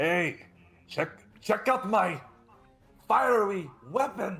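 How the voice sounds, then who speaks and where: A man's put-on character voice, high-pitched for a man, at a very slow pace over faint background music. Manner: boastful.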